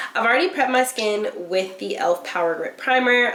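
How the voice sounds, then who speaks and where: Noticeable background noise fills the space around a woman. She talks with lively intonation. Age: 20s. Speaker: beauty and lifestyle vlogger. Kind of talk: casual chat. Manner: animated.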